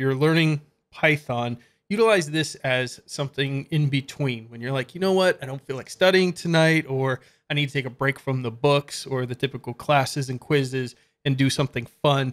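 A man speaks at a moderate pace, his pitch varying by ordinary amounts. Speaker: coding channel host. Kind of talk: screen-share tutorial commentary. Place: home room.

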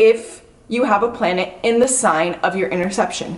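A woman talks at a moderate pace. Her tone is animated, with ordinary pitch variation. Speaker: astrology YouTuber. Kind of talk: casual chat. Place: home room. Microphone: camera far.

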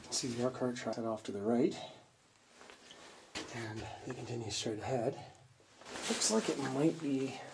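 Noticeable background noise sits behind a man's voice. He talks at a fairly slow pace with ordinary pitch variation. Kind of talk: casual exploration commentary. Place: tunnel cave. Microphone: phone near.

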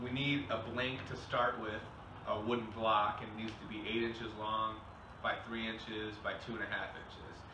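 Noticeable background noise sits behind a man's voice. He speaks in a monotone with flat intonation. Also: moderate pace. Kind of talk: tutorial. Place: workshop. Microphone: camera far.

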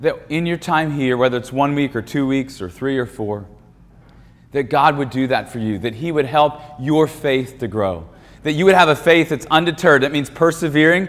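A man's voice, moderately paced, its pitch varying an ordinary amount. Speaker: speaker. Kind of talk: sermon. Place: hall. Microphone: lapel.

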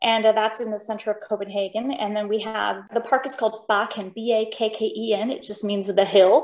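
Audible room echo surrounds a woman with a fairly high pitch who speaks in a monotone, flat intonation with hardly any pauses. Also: moderate pace. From Denmark, raised in US Pacific Northwest. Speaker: opera singer. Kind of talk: interview. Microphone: video call.

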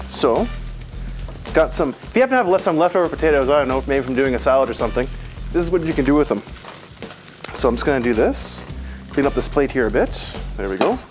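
A man talks very fast with clear music in the background. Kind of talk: cooking tutorial. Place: kitchen. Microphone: lapel.

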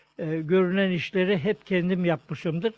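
Recorded with a dry, close sound and no echo, a man with a high pitch speaks at a very slow pace with fairly even intonation. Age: 80s+. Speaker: tailor. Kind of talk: interview answer.

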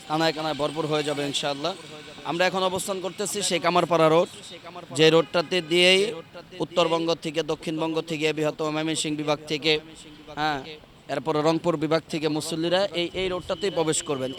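The intonation is monotone and flat. Noticeable background noise runs under the voice. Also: man, fairly high pitch for a man. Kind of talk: on-location report and street interviews. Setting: outdoors at a large religious gathering site by the road.

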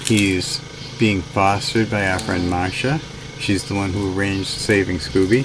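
Noticeable background noise sits behind a man speaking at a fairly slow pace. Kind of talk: casual vlog update. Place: bus. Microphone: phone near.

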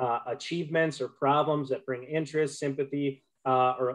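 A fairly high-pitched man, fairly quick and monotone, over a quiet background. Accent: Upper Midwest. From Minnesota, Duluth; Minnesota. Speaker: conservation group public relations manager; presenter. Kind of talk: webinar presentation. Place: home room. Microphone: unstable internet connection; webcam.

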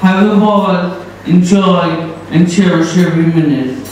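A man with a high pitch and ordinary pitch variation at a fairly slow pace, in strong room echo with light background noise. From Ireland. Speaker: best man. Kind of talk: reading a letter aloud. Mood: warm, sentimental closing. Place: hall.

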